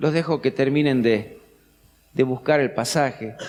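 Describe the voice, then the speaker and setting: A man at a very slow pace. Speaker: pastor. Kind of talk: sermon.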